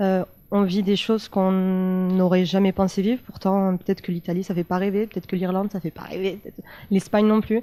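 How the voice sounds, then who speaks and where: Her tone dark and mellow, a woman of medium pitch speaks at a fairly quick pace. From France, Italian family. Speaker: former exchange student. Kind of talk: panel testimony. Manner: animated.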